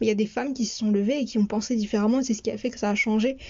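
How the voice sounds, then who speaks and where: Here a woman speaks at a fairly high pitch. Her intonation is fairly even. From France. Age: 20s. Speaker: podcast host. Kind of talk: podcast monologue.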